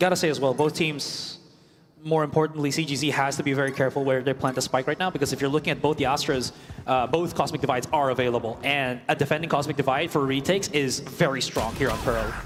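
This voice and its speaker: Music plays in the background as a man talks at a very fast pace. His pitch is fairly high and his loudness very even. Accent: non-native. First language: not English. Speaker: esports caster. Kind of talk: live commentary. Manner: animated.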